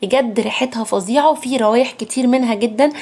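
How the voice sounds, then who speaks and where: Noticeable background noise sits behind the speaker. The tone is animated, the pace fairly quick, and the pitch varies in an ordinary way. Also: woman. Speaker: beauty product influencer. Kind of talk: sales pitch. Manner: lowered voice.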